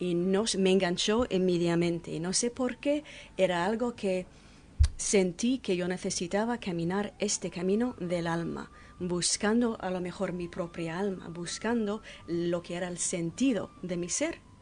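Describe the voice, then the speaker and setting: At a fairly slow pace, a woman speaks with a medium pitch and ordinary variation in it. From Canada, French-English border area. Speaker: peace pilgrim, author. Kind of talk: radio interview.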